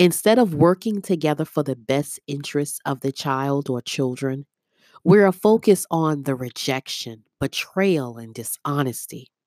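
Lively intonation and big swings in loudness at a moderate pace, on a very clean recording with a silent background. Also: woman, very deep, low pitch for a woman. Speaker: prayer warrior and podcast host. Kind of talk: fervent intercessory prayer, led aloud. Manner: earnest, pleading, solemn.

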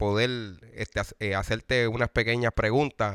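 Very clean audio from a man, the background completely silent. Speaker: online salsa show host. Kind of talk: casual interview. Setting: band rehearsal.

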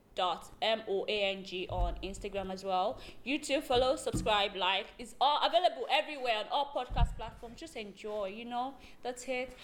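Lively intonation with big swings in loudness, over music in the background. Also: woman. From Nigeria. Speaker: podcast host. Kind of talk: casual chat.

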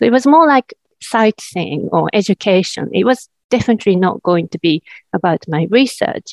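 With a Japanese accent, a woman speaks at a medium pitch using very wide pitch swings. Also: moderate pace. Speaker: academic researcher. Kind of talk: interview. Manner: halting with fillers.

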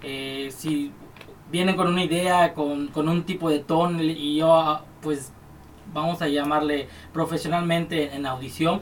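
Over noticeable background noise, a man with a Mexican accent speaks at a fairly slow pace. His pitch is fairly high and his intonation monotone and flat. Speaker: music producer and studio owner. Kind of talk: casual chat. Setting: studio.

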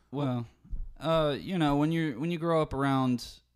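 The recording is very clean, and the background is silent. A man speaks at a moderate pace. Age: 20s. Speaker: musician. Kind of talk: casual chat.

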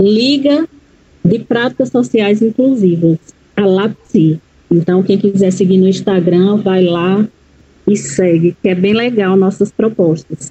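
At a very slow pace, a woman speaks in a medium pitch with ordinary pitch variation and very even loudness. Her voice is somewhat breathy, with a dark, mellow tone. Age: 40s. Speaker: educator and psychology student. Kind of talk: interview.

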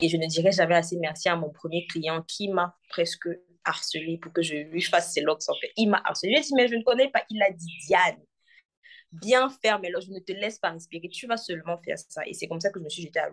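Fairly quick speech from a woman, fairly low in pitch, with ordinary pitch variation and big swings in loudness. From Cameroon, Douala. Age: 20s. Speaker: entrepreneur, hair stylist. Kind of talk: casual interview chat.

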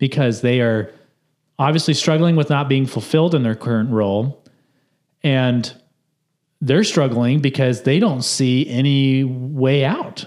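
A man talks at a medium pitch with ordinary pitch variation and very even loudness. He leaves long, frequent pauses. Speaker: podcast host. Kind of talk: casual chat. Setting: video podcast.

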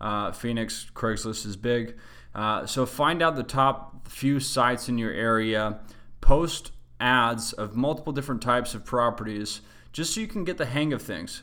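A man's bright, sharp voice with a Western US accent, medium in pitch, at a moderate pace with ordinary pitch variation. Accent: American (Western US). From Utah, US. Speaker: real estate investing show host. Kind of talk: monthly educational monologue. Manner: casual, frequent filler words.

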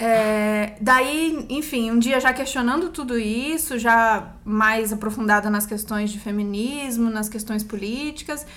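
A woman speaks at a moderate pace in a bright, sharp, fairly high voice with ordinary pitch variation. Audible room echo surrounds her. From Brazil, Campinas. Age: 30s. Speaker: actress. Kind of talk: casual chat. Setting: recording at home.

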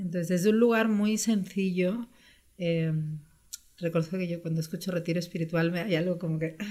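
A woman speaks in a dark, mellow tone at a fairly low pitch. Her pace is moderate and her intonation fairly even. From Spain (born in Brazil, moved at 6). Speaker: travel entrepreneur. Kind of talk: interview.

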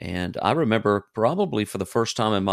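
A man with an Alabama accent talks at a moderate pace, his voice dry and close with no echo on a very clean recording over a silent background. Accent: Southern US (Alabama). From US South, Alabama. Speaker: missionary. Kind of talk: interview. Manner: halting.

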